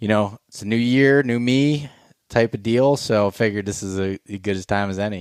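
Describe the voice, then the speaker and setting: Fairly quick speech from a man in a normal speaking voice with ordinary pitch variation, dry and close with no echo. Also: fairly low pitch for a man. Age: 30s. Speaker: podcast host. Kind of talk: casual chat.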